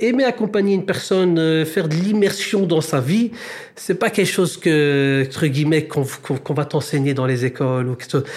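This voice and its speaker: A man with a Brussels accent, fairly high pitch, lively intonation and a fairly quick pace. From Brussels, Belgium. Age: 30s. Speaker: social mediation worker. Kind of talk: interview.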